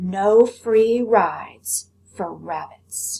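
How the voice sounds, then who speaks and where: A woman at a medium pitch performs a put-on character voice. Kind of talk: read-aloud character voice. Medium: read story. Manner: gruff, bullying.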